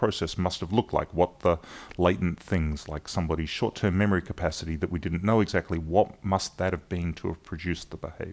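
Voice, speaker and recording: In a very clean recording with a silent background, a man with an Australian accent speaks at a fairly quick pace. His pitch is very deep and low, with fairly even intonation. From South Australia, Adelaide. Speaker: cognitive science professor. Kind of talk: interview. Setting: workshop venue.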